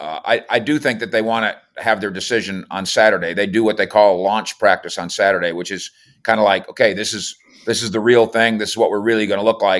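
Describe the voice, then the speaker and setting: A man with an American accent talks at a very fast pace in a fairly low pitch with fairly even intonation. The recording is very clean, with a silent background. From Minnesota. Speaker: NFL reporter. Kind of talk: casual sports talk interview.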